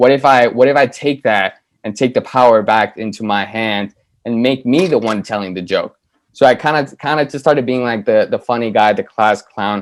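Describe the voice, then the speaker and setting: A man talks with a Spanish accent and ordinary pitch variation. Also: medium pitch for a man, moderate pace. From South Florida, born in Colombia. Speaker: TV writer. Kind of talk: interview. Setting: video call. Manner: rambling, casual.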